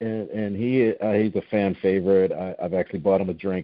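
A man's speech moves along at a fairly quick pace. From South Jersey. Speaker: podcast host. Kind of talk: casual interview.

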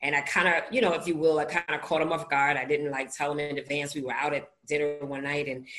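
A woman talks in a New York accent with an animated tone. Her pace is very fast. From US Northeast, Brooklyn, New York. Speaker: author and recovery podcaster. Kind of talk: interview, personal testimony.

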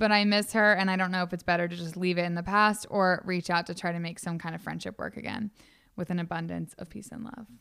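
A woman talking very fast in a bright, sharp tone, with fairly even intonation and big swings in loudness, in a very clean recording with a silent background. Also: fairly low pitch for a woman. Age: 20s. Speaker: podcast co-host. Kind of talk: casual chat. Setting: studio. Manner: stutters.

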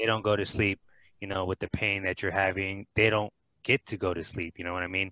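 In a quiet background with a dry, close sound and no echo, a man speaks at a fairly low pitch in a bright, sharp tone, his intonation monotone and flat. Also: fairly quick pace. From Dominican heritage. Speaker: podcast co-host, ulcerative colitis patient. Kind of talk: casual chat.

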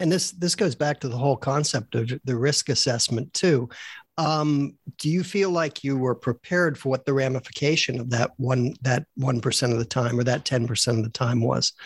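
A somewhat breathy man's voice at medium pitch, with ordinary pitch variation and a moderate pace, on a very clean recording with a silent background. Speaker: co-host, retired surgeon. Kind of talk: interview questions.

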